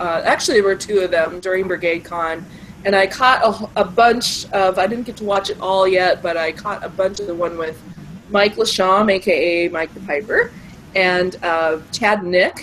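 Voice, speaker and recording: A woman's medium-pitched voice at a moderate pace, with fairly even intonation and noticeable background noise. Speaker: tabletop role-playing gamer. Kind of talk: casual talk to camera. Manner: hesitant.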